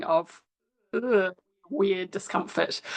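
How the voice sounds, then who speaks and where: Fairly slow delivery with ordinary pitch variation. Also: woman. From New Zealand. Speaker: sociology lecturer, former classical musician. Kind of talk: interview. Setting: video call.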